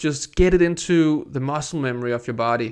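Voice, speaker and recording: The recording is very clean, with a silent background. A man with a non-native accent speaks at a fairly high pitch, with ordinary pitch variation. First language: not English. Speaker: skateboarding youtuber. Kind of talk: video voiceover tutorial. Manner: casual.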